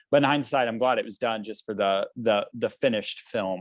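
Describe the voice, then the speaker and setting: A man with an American accent and a plain, everyday voice at a medium pitch, with ordinary pitch variation, the sound dry and close with no echo. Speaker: musician and political candidate. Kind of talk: panel interview.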